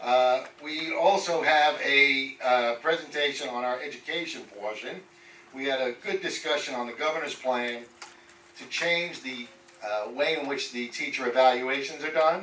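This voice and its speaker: A man's rather unhurried speech in a room with audible echo and clear background noise. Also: big swings in loudness. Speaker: community board committee chair. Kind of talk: committee report at public meeting. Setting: public board meeting. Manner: loud.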